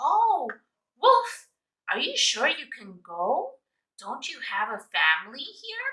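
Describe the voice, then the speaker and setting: A woman puts on a character voice with a gentle tone and a high pitch. She moves at a fairly slow pace with long, frequent pauses. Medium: read story. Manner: gentle, friendly.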